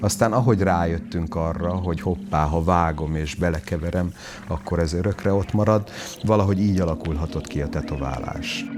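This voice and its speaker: Noticeable background noise sits behind a man with a very deep, low pitch, who talks at a fairly quick pace with ordinary pitch variation. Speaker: tattoo artist. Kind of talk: interview.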